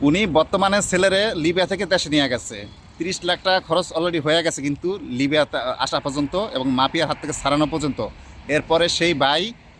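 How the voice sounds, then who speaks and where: A man with an ordinary speaking voice at a fairly high pitch. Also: ordinary pitch variation. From Bangladesh. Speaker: vlogger. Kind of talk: vlog interview.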